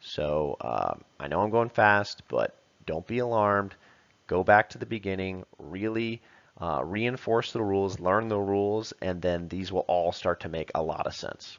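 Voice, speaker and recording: In a normal speaking voice, a man talks at a fairly slow pace with a fairly low pitch and ordinary pitch variation against a quiet background. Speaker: football coach. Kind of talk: tutorial.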